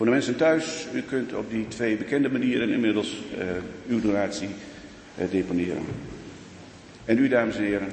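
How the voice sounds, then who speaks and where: Lively intonation at a moderate pace, with audible room echo and noticeable background noise. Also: man. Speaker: church elder. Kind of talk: church announcements. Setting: church.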